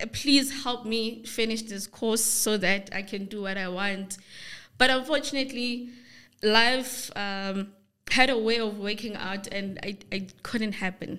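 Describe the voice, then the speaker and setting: Speaking at a fairly slow pace with a South African accent, this voice has a bright, sharp tone and fairly even intonation. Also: woman, fairly high pitch for a woman. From South Africa, Free State. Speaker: forex trader. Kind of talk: interview.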